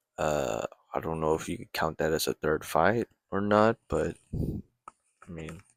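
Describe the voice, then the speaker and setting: A man's very deep, low voice with vocal fry and lively intonation. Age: 20s. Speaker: amateur boxer and vlogger. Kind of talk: casual late-night monologue. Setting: at home at midnight. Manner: quiet; rambling, halting.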